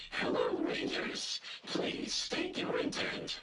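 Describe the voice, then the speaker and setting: Putting on a character voice, a man speaks raspily at a very slow pace in an extremely high pitch, with strong echo. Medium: machinima. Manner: formal, measured, speaks as "we".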